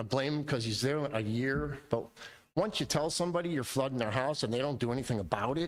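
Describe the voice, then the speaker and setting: This man has a fairly high pitch and talks very fast with lively intonation. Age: 60s. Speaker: resident speaking at city council. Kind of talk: public comment at council meeting. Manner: halting, repetitive.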